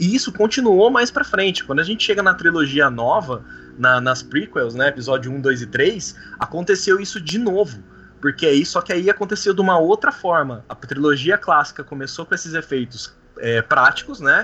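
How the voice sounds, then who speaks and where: Very wide pitch swings in a high-pitched male voice. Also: moderate pace. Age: 30s. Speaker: Star Wars fan club organizer. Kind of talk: casual chat.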